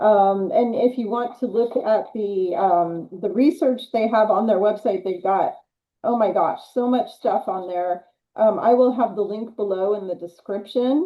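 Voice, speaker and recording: A woman speaks in a normal speaking voice at a fairly high pitch. Her pace is fairly slow, with ordinary pitch variation. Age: 60s. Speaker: health channel host. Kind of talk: interview.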